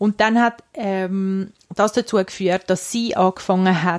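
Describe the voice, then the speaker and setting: Recorded dry and close with no echo, a woman speaks at medium pitch with fairly even intonation. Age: 30s. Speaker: podcast co-host. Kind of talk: casual chat.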